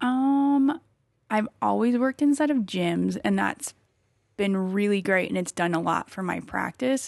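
At a fairly slow pace, a woman with a slight Wisconsin accent talks at a medium pitch with lively intonation. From small-town Wisconsin. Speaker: athlete and injury practitioner. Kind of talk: casual chat. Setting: studio.

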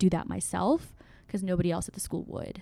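A woman's dark, mellow tone at medium pitch. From Oklahoma, born in Burma. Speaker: university student. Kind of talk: casual chat.

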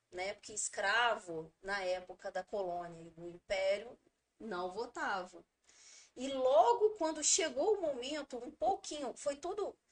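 Speaking at a fairly slow pace, a woman has a fairly high pitch. Her voice shows very wide pitch swings and big swings in loudness. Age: 30s. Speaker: teacher and local politician. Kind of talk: interview.

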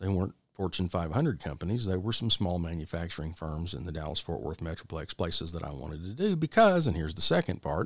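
A man with an American accent and a very deep, low pitch, at a very fast pace with hardly any pauses and ordinary pitch variation, on a very clean recording with a silent background. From Texas. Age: 50s. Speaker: podcast host, business owner. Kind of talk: solo podcast monologue. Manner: casual, folksy.

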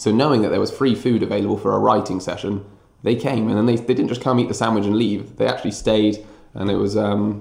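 At a very fast pace, a man with a fairly low pitch talks with fairly even intonation. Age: 30s. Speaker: history teacher. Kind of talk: casual interview.

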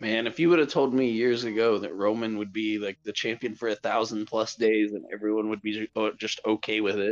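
Fairly quick and fairly low, a man's voice comes through with a dry, close sound, no echo, and a quiet background. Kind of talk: casual watch-along chat. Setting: remote, on phone, far from mic. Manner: animated, profane, quick reactions.

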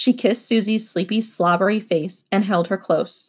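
The text is simply read aloud, plainly. Little noise sits behind it.

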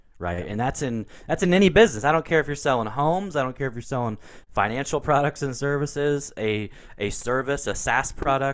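Lively intonation runs through speech at a fairly quick pace, on a very clean recording with a silent background. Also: man, fairly high pitch for a man. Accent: Pacific Northwest. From US Pacific Northwest, Portland, Oregon. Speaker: business consultant and entrepreneur. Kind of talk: interview.

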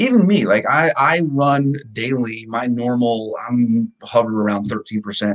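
A man with an unremarkable speaking voice, medium pitch and ordinary pitch variation. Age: 40s. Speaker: fitness coach. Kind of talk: casual chat.

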